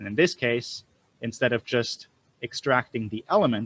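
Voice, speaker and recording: A plain, everyday voice from a man at a medium pitch comes through dry and close with no echo. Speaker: programming instructor. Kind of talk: live online lecture.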